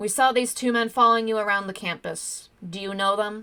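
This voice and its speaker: A woman puts on a character voice with a fairly high pitch, talking fairly quickly with fairly even intonation. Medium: read story. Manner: authoritative.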